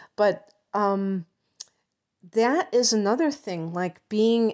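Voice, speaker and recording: With a Chicago accent, a woman talks with lively intonation over a silent background in a very clean recording. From Chicago suburbs, US Midwest. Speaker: astrologer. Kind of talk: astrology talk to camera. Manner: hesitant, many fillers.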